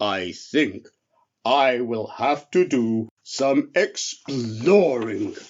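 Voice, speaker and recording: A man uses a put-on character voice at a medium pitch. He speaks at a very slow pace. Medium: read story. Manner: slow, drowsy, kindly.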